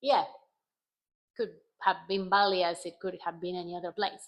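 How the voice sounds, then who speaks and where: A voice with a Spanish accent on a very clean recording with a silent background. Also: woman. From Argentina. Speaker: travel vlogger. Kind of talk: casual vlog monologue.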